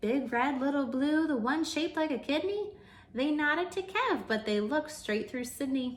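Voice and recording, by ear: Speaking at a fairly slow pace, a woman uses a high pitch with lively intonation.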